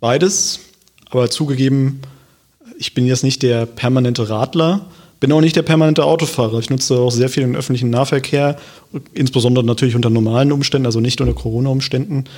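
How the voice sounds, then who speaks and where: Speech from a man comes very fast. His voice is pitched in the medium range. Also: ordinary pitch variation. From Germany, Hesse (Wiesbaden). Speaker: local politician. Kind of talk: podcast interview. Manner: hesitant, many filler sounds.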